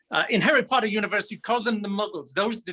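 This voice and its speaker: The man's voice is high in pitch, bright and sharp. He speaks in a raised, projected voice. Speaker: hobby woodworker giving a work presentation. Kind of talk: humorous presentation. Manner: animated; loud.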